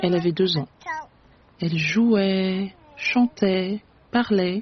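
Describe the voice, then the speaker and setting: The woman's pitch is medium and her intonation fairly even. She speaks at a very slow pace. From France (Paris) and Cameroon. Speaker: storyteller, interviewee. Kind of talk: personal storytelling. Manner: slow, clear French for learners.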